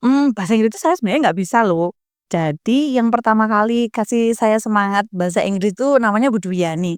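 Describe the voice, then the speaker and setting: A woman talks at a very fast pace and fairly high pitch with hardly any pauses, lively intonation, an animated tone, and very even loudness. The recording is very clean, dry and close, with a silent background and no echo. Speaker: school alumna with doctorate, educator. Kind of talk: podcast interview.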